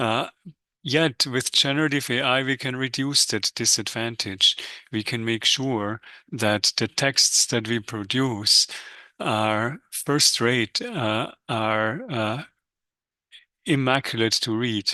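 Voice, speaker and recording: Against a quiet background, a man with a non-native accent talks at a very slow pace in a bright, sharp tone, with a medium pitch, fairly even intonation, and a dry, close sound with no echo. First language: not English. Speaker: economics professor. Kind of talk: webinar lecture. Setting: live webinar. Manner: hesitant with frequent fillers.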